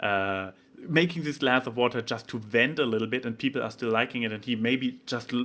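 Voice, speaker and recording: Speaking at a fairly quick pace in a German accent, a man keeps a medium pitch with ordinary pitch variation. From Germany. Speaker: vlogger. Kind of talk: casual vlog monologue. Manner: halting, many fillers and restarts.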